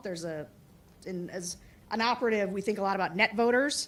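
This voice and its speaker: Talking at a very fast pace, a woman keeps ordinary pitch variation. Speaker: political operative. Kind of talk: conference talk and Q&A. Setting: conference room with audience. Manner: loud.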